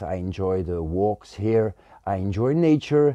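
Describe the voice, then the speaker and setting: A man speaks at a fairly slow pace in a dark, mellow tone. His pitch swings very widely. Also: dry, close sound with no echo. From Belgium. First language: Dutch and French. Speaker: bonsai YouTuber. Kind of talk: casual Q&A monologue. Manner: hesitant, many fillers.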